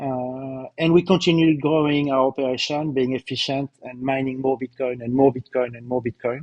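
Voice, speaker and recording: With a slight French accent, a man with a fairly high voice speaks at a moderate pace in a dry, close sound with no echo. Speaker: company CEO presenting results. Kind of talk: corporate webcast presentation. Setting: live webcast. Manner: hesitant, many fillers and repetitions.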